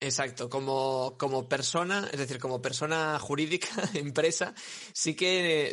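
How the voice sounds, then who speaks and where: With a plain, everyday voice, a man speaks at a fairly slow pace with fairly even intonation. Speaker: web developer and SEO entrepreneur. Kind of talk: casual interview chat.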